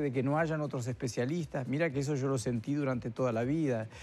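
The voice belongs to a man. Faint music sits in the background. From Uruguay (Isla Mala, Florida); Uruguay. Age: 70s. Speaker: retired neurosurgeon and artist; guest. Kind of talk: interview. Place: studio. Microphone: lapel.

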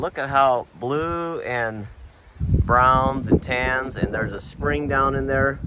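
Loud background noise runs under a very slow delivery with ordinary pitch variation and a dry sound with no echo. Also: man. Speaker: travel vlogger. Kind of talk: casual vlog narration. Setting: outdoors. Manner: animated. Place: open country. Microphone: phone near.

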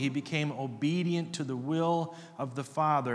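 This man talks with ordinary pitch variation. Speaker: preacher. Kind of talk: sermon. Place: church. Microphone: podium.

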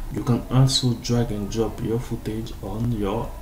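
The speech comes at a very slow pace with fairly even intonation, amid noticeable background noise and audible room echo. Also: man. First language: French. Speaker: graphic designer. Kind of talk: tutorial. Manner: halting.

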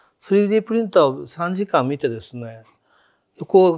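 In a quiet background, a man with a high pitch for a man speaks at a moderate pace and with lively intonation. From Japan, Hiroshima. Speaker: entrepreneur. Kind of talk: interview conversation. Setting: studio. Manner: animated, humorous. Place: studio. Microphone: lapel.

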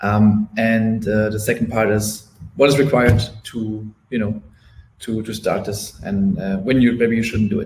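A somewhat breathy, fairly low-pitched man in a monotone, flat intonation, with noticeable background noise. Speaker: restaurant marketing specialist; presenter. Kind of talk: webinar presentation. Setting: live webinar. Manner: fast. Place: home room.

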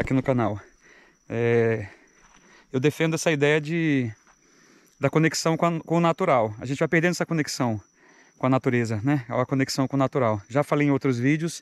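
A man talks at a moderate pace with ordinary pitch variation and very even loudness, taking long, frequent pauses in a dry sound with no echo. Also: quiet background. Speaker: mountain biker vlogger. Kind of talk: casual vlog chat. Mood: calm, reflective. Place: open country. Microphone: phone near.

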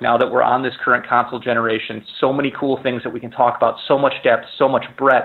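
The intonation is monotone and flat. Noticeable background noise is present. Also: man. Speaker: video game producer. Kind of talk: interview. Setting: phone call.

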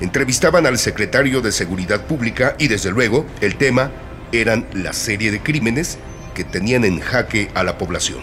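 Clear music plays in the background. A man speaks over it with lively intonation. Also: moderate pace. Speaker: radio drama narrator. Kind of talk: horror story narration for radio. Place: studio.

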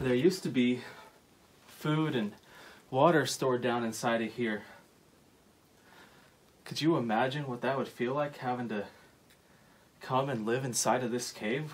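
A man at a moderate pace, with fairly even intonation and long, frequent pauses. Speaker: cave explorer vlogger. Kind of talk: casual vlog chat. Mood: curious, awed. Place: tunnel cave.

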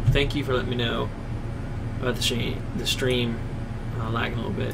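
A man talks fairly quickly through loud background noise. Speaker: live streamer. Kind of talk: casual stream chat. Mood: relaxed, self-mocking. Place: home room. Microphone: headset.

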